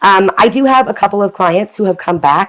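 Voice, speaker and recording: Using an ordinary speaking voice, a woman with an American accent talks at a moderate pace with ordinary pitch variation. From US Midwest, Kansas City Missouri area. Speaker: past life regression practitioner. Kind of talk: interview on a live broadcast. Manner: casual, filler-heavy.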